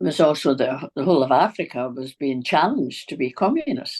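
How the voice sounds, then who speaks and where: A woman with a very deep, low pitch sounds animated at a fairly quick pace. The sound is dry and close with no echo, and the background is quiet. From Scotland, east end of Glasgow. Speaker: author. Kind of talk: interview. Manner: animated storytelling.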